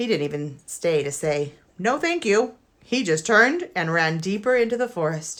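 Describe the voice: Lively intonation in an otherwise plain read-aloud delivery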